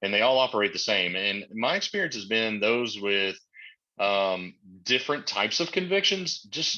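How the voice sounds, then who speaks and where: A man with a Southern US accent speaks in a fairly low voice with lively intonation. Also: moderate pace. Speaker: manager who employs people on the registry. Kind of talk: webinar panel discussion.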